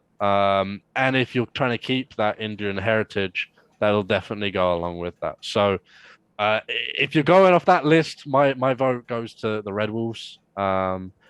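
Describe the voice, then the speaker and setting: A man with an English accent speaks at a fairly low pitch. He keeps a moderate pace. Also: ordinary pitch variation, dry, close sound with no echo. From England. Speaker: sports podcast guest. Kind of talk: casual chat.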